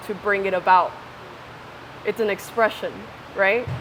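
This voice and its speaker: At a moderate pace, a woman speaks in a medium pitch. Noticeable background noise runs underneath. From Ecuador. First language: Spanish. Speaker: interviewee. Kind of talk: casual interview. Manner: animated.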